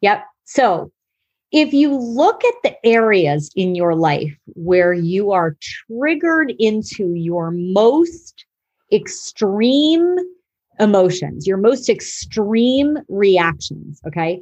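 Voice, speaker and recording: With very wide pitch swings around a medium pitch, a woman talks at a very slow pace. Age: 50s. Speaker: psychotherapist. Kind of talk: interview.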